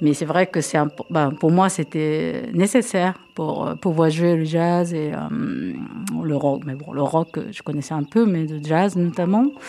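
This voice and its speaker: Very slowly, a woman with a very deep, low pitch speaks in a Japanese accent. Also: ordinary pitch variation. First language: Japanese (speaking French). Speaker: drummer and percussionist. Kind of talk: radio interview. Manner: halting.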